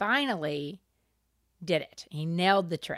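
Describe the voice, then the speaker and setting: The sound is dry and close with no echo, in a very clean recording over a silent background. A woman speaks at a fairly low pitch with ordinary variation. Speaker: podcast co-host. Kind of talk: casual chat. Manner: relaxed.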